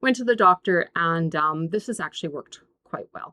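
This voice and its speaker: In a Canadian accent, a woman speaks at a moderate pace with lively intonation. Her tone is bright and sharp, and the sound is dry and close with no echo. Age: 60s. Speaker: YouTuber. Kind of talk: casual tutorial. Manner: halting.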